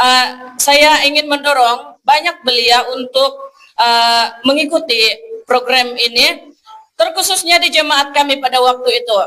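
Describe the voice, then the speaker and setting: Raising and projecting her voice, a woman speaks at a high pitch with a bright, sharp tone. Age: 20s. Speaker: evangelist. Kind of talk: testimony. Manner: halting.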